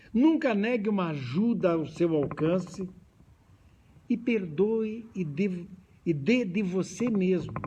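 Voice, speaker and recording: A man with a high pitch and lively intonation speaks at a very slow pace with long, frequent pauses, amid noticeable background noise and audible room echo. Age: 70s. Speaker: spiritist lecturer. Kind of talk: lecture. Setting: hall with audience, also streamed.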